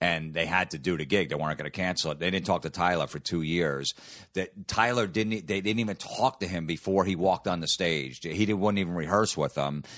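A man with an American accent speaks fairly quickly in a very deep, low pitch with ordinary pitch variation. The background is quiet. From New Jersey. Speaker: comedian. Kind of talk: casual chat.

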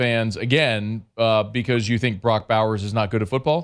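Over a quiet background, a man with an ordinary speaking voice talks at a medium pitch and a fairly quick pace. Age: 40s. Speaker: sports radio host. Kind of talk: casual chat.

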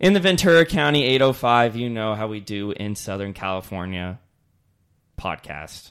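An unremarkable speaking voice from a man, fairly low in pitch, with lively intonation, big swings in loudness and a moderate pace, in a very clean recording with a silent background. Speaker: podcast host. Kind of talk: casual chat.

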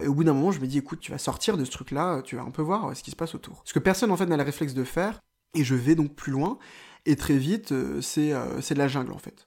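Talking at a very fast pace, a man with a fairly high pitch and ordinary pitch variation shows big swings in loudness on a very clean recording with a silent background. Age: 20s. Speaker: journalist. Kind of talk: personal travel storytelling. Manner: hesitant, with fillers.

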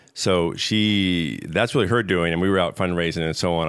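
Very deep and low, a man's voice shows ordinary pitch variation. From USA. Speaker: tech company co-founder and CEO. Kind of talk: interview.

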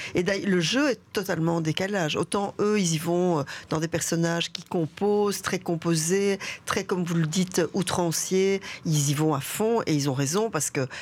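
An ordinary speaking voice from a woman, fairly low in pitch with ordinary pitch variation, at a fairly slow pace and very even loudness. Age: 60s. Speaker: theatre director and actress. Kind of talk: radio interview.

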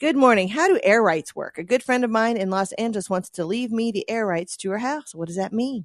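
A woman with a plain, everyday voice speaks at a fairly quick pace with hardly any pauses. Her pitch is fairly high, her intonation is lively, and the sound is dry and close with no echo. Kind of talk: radio dj patter: relaxed co-host banter, reading listener texts on air between jokes. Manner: chatty, wry and playful, riffing and laughing along while reading out listener messages.

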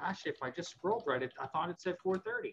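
A man with an American accent speaks in a raised, projected voice. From Pennsylvania. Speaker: ham radio retailer employee. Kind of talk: casual chat.

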